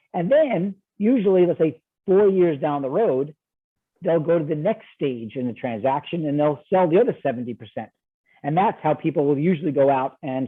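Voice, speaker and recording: A man with a New York accent speaks at a fairly quick pace in a fairly high pitch. His intonation is lively. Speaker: ESOP investment banker. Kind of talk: podcast interview. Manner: fast; animated.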